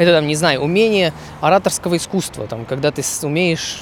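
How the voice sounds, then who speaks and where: Against noticeable background noise, the speech moves at a very fast pace. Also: man. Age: 20s. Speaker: podcaster, software engineer. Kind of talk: solo monologue podcast. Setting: outdoors, walking. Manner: hesitant, with fillers.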